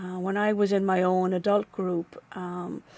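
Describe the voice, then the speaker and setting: At a fairly slow pace, a woman with an Irish accent speaks at medium pitch in a dark, mellow tone, in a very clean recording with a silent background. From Ireland. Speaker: nonprofit staff member and former volunteer. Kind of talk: interview. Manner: halting.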